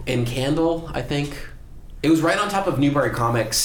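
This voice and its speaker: Over noticeable background noise, a man speaks at a fairly quick pace. His pitch varies in an ordinary way. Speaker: tech entrepreneur. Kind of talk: casual chat. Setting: studio.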